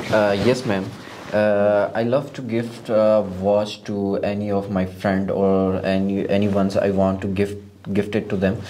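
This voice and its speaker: With a northern Pakistani accent, a man talks at a fairly slow pace in a fairly low, flat monotone. The recording carries audible room echo and noticeable background noise. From Gilgit-Baltistan, northern Pakistan. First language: Shina. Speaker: IELTS test candidate. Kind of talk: mock speaking exam interview. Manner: halting, many fillers.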